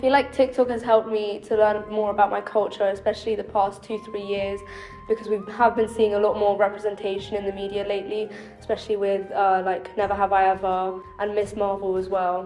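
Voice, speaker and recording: Over music in the background, a woman in a British accent talks fairly quickly at a medium pitch with monotone, flat intonation. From UK. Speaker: interviewee. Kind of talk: testimony.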